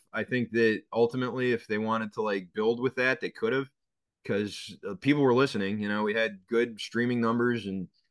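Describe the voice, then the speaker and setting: Against a quiet background, a man with a Boston accent speaks fairly quickly at a medium pitch with fairly even intonation. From Boston, North End. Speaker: sports radio host. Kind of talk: interview.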